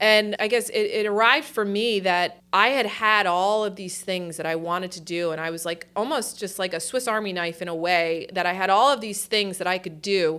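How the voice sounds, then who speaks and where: With a New Jersey accent, a woman talks at a medium pitch with ordinary pitch variation and hardly any pauses. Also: moderate pace. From New Jersey Shore, Point Pleasant Beach. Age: 40s. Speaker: university company executive. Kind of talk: interview. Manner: casual, hesitant with fillers.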